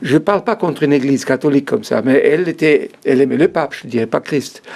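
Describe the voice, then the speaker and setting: A very fast-talking man with a fairly high pitch and lively intonation, over noticeable background noise. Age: 60s. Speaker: author giving life testimony. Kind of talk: interview testimony. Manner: halting.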